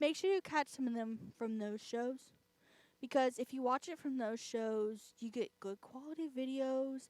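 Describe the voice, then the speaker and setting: A woman speaks in a high pitch with ordinary pitch variation. The sound is dry and close, with no echo. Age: 20s. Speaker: student radio DJ. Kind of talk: radio talk show. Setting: radio studio. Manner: slow.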